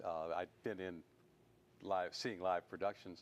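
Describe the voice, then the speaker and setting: In a Southern US accent, a man talks at a moderate pace. His pitch is very deep and low. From US South, Mississippi. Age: 70s. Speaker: television producer and writer. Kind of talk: interview.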